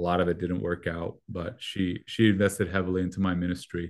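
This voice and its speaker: A man with a Spanish accent talks at a very fast pace in a very deep, low pitch with monotone, flat intonation. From Mexico. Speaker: youth pastor. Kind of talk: interview.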